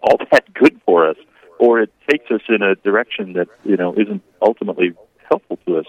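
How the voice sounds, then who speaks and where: A man's plain, everyday voice at a fairly quick pace with ordinary pitch variation. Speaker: diocesan communications worker. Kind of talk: radio interview. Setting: phone call.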